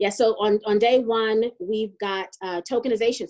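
Against a quiet background, the voice moves at a moderate pace. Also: woman. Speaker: co-host. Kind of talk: casual chat. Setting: video call. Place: home room. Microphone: video call.

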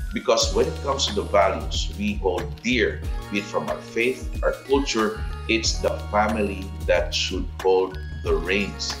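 A man at a fairly slow pace over clear music in the background. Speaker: commentator. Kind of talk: scripted opinion commentary. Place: home room.

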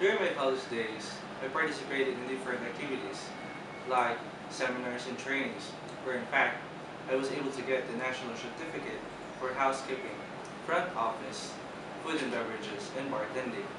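Over loud background noise and audible room echo, a man talks at a fairly quick pace broken by long, frequent pauses. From Philippines, Bicol (Naga City). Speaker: internship applicant, hospitality graduate. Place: office.

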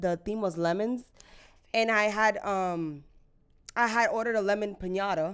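Against a quiet background, a woman speaks at a moderate pace. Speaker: podcast co-host. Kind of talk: casual podcast chat. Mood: chatty, laughing. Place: home room. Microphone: studio mic.

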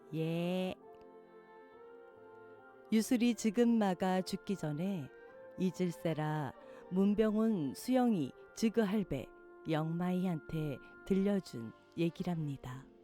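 Music in the background behind a woman's fairly low voice in a Gyeongsang accent, very slow, with lively intonation. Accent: Gyeongsang dialect in dialogue. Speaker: poetry reader. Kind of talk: poetry reading.

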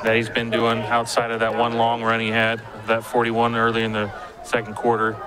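Monotone, flat intonation from a man of medium pitch at a moderate pace, over noticeable background noise. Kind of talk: color commentary alongside play-by-play. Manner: conversational, analytical, coach-like, halting at times.

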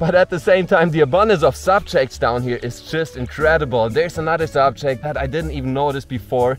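Over faint background music, a man speaks at a fairly quick pace, the sound dry with no echo. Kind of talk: casual vlog chat. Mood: enthusiastic, amazed. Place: forest.

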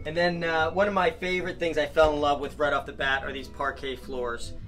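A man talks at a fairly quick pace. Faint music sits in the background. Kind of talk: casual vlog chat. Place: boat.

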